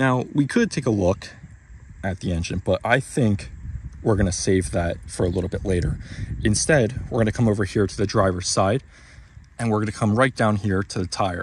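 In a normal speaking voice, a man talks at a moderate pace with a fairly low pitch and ordinary pitch variation, the sound dry and echo-free over light background noise. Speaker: car owner vlogger. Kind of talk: casual vlog walkthrough. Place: street. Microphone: phone near.

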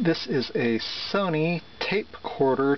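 The man's voice has ordinary pitch variation, recorded dry with no echo and light background noise. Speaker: seller demonstrating an item. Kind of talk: product demonstration. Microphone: phone near.

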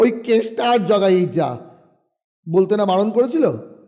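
Little can be heard in the background. The voice is an unforced reading voice.

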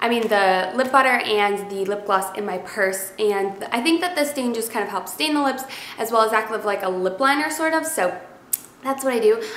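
A woman talks with a fairly high pitch and ordinary pitch variation. Room echo is audible. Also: moderate pace, fairly bright tone.

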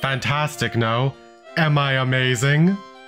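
Over clear background music, someone does a put-on character voice at a low-to-middle pitch. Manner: friendly, welcoming.

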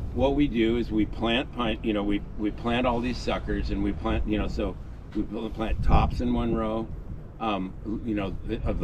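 Over noticeable background noise, a man speaks at a fairly slow pace and fairly low pitch with ordinary pitch variation, in a dry sound with no echo. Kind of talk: tour explanation. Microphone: camera far.

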